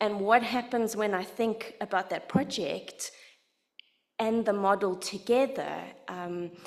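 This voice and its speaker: Speaking with a South African accent, a woman uses a medium pitch with ordinary pitch variation. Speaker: literacy education researcher. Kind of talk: lecture.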